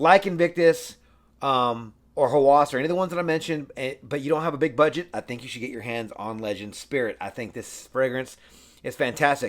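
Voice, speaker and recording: On a very clean recording with a silent background, a man speaks at a fairly quick pace with a fairly high pitch and ordinary pitch variation. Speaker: fragrance reviewer. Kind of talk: product review. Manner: fast; halting, many fillers.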